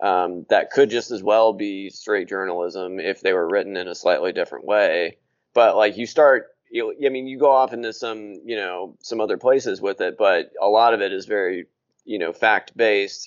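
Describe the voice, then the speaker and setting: With an American accent, a man talks at a moderate pace in a plain, everyday voice, fairly low-pitched with ordinary pitch variation. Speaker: podcast host. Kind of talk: casual interview chat.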